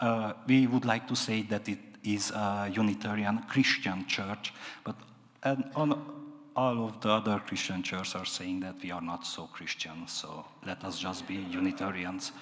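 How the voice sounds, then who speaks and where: Over noticeable background noise, a man with a fairly low pitch speaks at a moderate pace with ordinary pitch variation. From Transylvania, Romania. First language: Hungarian or Romanian (not English). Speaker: minister. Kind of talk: sermon. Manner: halting, many fillers and repetitions.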